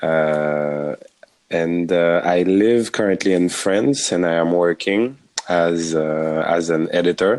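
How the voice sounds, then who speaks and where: The delivery is very slow, and the loudness stays very even throughout. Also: man, very deep, low pitch for a man, ordinary pitch variation. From Haiti. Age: 30s. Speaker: filmmaker and editor. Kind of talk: casual interview chat. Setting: remote recording via app. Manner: halting, many hesitations.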